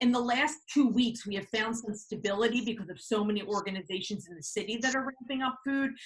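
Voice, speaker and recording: This is a plain, everyday voice. It moves at a fairly quick pace with ordinary pitch variation. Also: woman. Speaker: school staff member. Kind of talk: presentation at virtual meeting.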